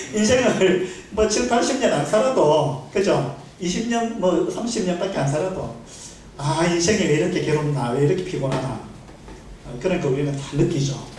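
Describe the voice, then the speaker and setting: High-pitched male voice at a moderate pace, lively in intonation, broken by long, frequent pauses, with noticeable background noise and audible room echo. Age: 60s. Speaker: lay preacher. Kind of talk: sermon. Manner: conversational, many fillers.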